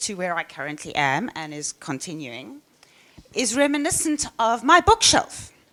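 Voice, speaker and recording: A woman speaks with a fairly high pitch, very wide pitch swings and vocal fry. Her tone is bright and sharp, and her pace is fairly slow. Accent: South African. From South Africa. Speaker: software engineer. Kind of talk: conference talk. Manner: halting.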